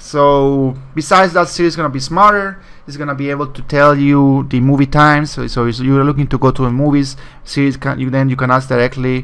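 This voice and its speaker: The speech comes at a very fast pace in a Spanish accent. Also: man. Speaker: tech video blogger. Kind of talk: casual product commentary. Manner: halting, many fillers.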